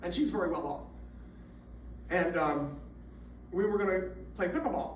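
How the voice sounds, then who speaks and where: Lively intonation from a man at a high pitch and moderate pace, with audible room echo and noticeable background noise. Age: 70s. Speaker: former prisoner giving testimony. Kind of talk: testimony. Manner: conversational, halting.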